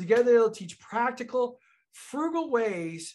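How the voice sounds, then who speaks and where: A man's enthusiastic tone against a quiet background. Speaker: financial consultant and podcast host. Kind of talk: podcast host talk. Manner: enthusiastic, conversational. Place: office.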